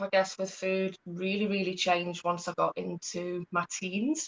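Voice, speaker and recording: With a slight Geordie accent, a woman talks at a fairly slow pace and medium pitch. The sound is dry and close, with no echo. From northern England, Newcastle. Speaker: hormone and gut health practitioner. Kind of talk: interview, life story. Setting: live stream.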